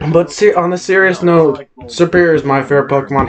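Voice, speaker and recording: With noticeable background noise behind him, a man speaks at a moderate pace, his pitch varying in an ordinary way. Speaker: podcast co-host. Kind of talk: casual chat. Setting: home recording, late night. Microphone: far from the mic.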